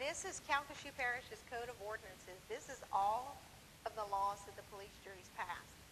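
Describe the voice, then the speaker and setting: Noticeable background noise sits under a woman's voice. She speaks at medium pitch with ordinary pitch variation. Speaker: parish planning official. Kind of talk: public presentation. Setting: public meeting with audience. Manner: fast.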